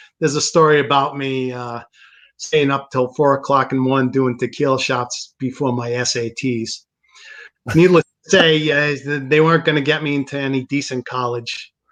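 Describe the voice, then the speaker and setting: A man with an American accent, fairly high in pitch, at a moderate pace with fairly even intonation. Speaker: guitarist. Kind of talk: casual interview. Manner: halting.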